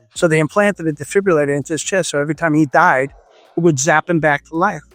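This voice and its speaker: A man talks at a very fast pace and a fairly high pitch. Music plays behind a dry, close sound with no echo. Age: 70s. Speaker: chiropractor and red light bed maker. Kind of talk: interview. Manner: animated.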